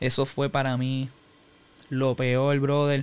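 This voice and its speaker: The speaker is a man with a fairly high pitch. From Puerto Rico (Humacao). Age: 20s. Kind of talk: personal testimony in interview.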